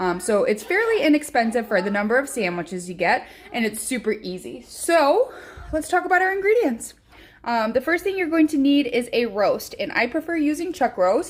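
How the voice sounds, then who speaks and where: Against noticeable background noise, a woman with an American accent speaks at a moderate pace and high pitch, her pitch swinging very widely. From Chicago area, US Midwest. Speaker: home cooking vlogger. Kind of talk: cooking tutorial. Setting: home kitchen. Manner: casual, frequent filler words.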